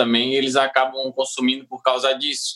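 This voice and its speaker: With a Santa Catarina accent, a man speaks at medium pitch and a moderate pace. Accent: southern Brazilian (Santa Catarina). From Santa Catarina, southern Brazil. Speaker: comedian. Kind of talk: casual chat.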